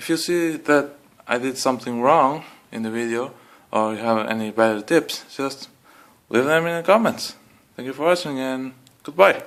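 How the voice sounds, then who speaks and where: The recording is very clean, with a silent background. A man with a non-native accent speaks with long, frequent pauses. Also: medium pitch for a man, ordinary pitch variation, moderate pace. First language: not English. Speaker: car hobbyist. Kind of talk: tutorial. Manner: casual, hesitant with fillers.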